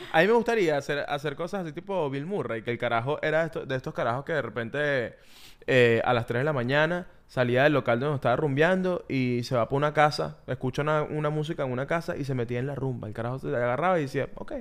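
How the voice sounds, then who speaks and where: Speaking very fast with hardly any pauses, a man with a Venezuelan accent uses a fairly high pitch and ordinary pitch variation, recorded very cleanly against a silent background. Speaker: podcast co-host. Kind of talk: casual chat.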